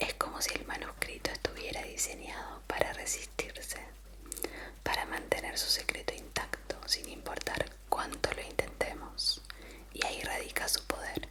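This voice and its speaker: Noticeable background noise sits behind a fairly slow whisper. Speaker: ASMR creator. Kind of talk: ASMR history mystery storytelling. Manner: whispered.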